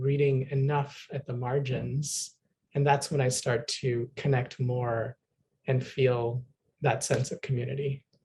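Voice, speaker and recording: A man speaks at a fairly slow pace in a medium pitch, his somewhat breathy voice dark and mellow, with monotone, flat intonation. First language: Bengali. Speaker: fiction writer. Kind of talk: panel discussion.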